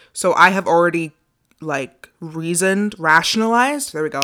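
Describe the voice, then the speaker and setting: In a very clean recording with a silent background, a woman speaks at a fairly low pitch with lively intonation. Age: 20s. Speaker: podcast host. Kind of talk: solo podcast monologue, self-help. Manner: animated, passionate.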